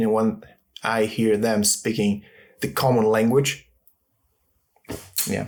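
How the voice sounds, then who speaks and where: This man has a fairly low voice and a Russian accent. He talks at a fairly slow pace. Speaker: actor and linguist. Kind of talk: casual interview chat. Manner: elevated, formal wording.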